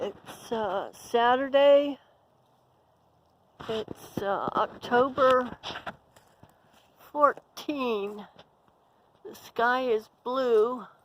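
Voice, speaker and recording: A woman's high-pitched voice, very slow, broken by long, frequent pauses, with big swings in loudness and ordinary pitch variation. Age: old. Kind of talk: casual talk to camera, rambling to herself. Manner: rambling.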